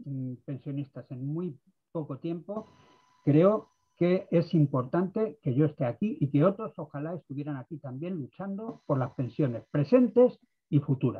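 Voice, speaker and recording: At a fairly slow pace, a man speaks with a fairly high pitch, a somewhat breathy quality and lively intonation. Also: big swings in loudness. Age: 60s. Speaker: participant in pensioner activist meeting. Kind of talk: video conference discussion. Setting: video call.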